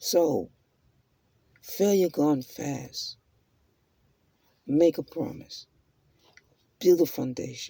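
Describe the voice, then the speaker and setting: Very slow and marked by long, frequent pauses, a man's speech unfolds. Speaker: self-help vlogger. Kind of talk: motivational monologue.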